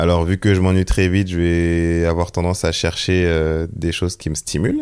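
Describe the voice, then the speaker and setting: A man with a very deep, low voice speaks at a fairly slow pace in a flat, monotone delivery. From Seine-et-Marne, France. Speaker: photographer. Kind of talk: casual interview.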